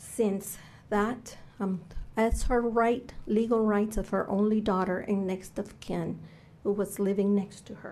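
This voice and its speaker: A woman with a Cuban accent speaks slowly-ish, at a fairly slow pace, in a medium-pitched, dark, mellow tone with monotone, flat intonation. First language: Spanish. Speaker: public testimony speaker. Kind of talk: testimony. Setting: legislative committee hearing.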